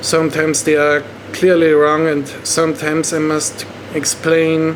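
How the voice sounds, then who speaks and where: A man speaks fairly slowly with a German accent. His pitch is fairly high, and there is noticeable background noise. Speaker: online movie reviewer. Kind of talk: movie review monologue. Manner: halting.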